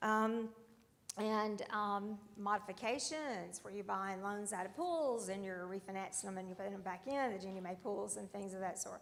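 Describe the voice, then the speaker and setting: A woman speaks in a Southern US accent at a medium pitch. Her pitch variation is ordinary. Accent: southern drawl. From US South, Alabama. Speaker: audience member in mortgage warehouse lending. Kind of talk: panel discussion comment.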